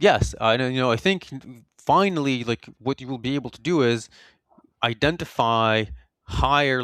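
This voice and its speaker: The man speaks at a moderate pace with a medium pitch. His pitch varies in an ordinary way. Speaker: software security researcher. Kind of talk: interview. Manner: halting, self-correcting.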